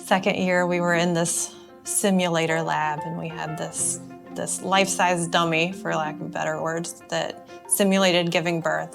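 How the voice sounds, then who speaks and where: Music is playing behind the speaker. A woman talks fairly slowly. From North Carolina, USA. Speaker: obstetrician-gynecologist. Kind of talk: casual talk to camera.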